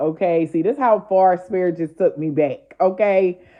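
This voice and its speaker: Her pitch fairly low, a woman speaks with ordinary pitch variation. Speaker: spiritual content creator. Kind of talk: casual storytelling. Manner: animated.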